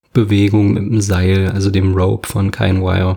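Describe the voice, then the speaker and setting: This man speaks at a fairly low pitch. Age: 20s. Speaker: podcast host and fitness trainer. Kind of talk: solo podcast monologue.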